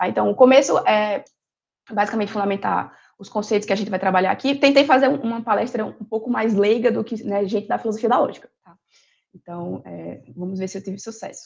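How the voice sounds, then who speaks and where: A woman with vocal fry, a fairly quick pace and big swings in loudness. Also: fairly high pitch for a woman, ordinary pitch variation. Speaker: philosophy lecturer. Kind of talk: lecture. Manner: hesitant with frequent fillers.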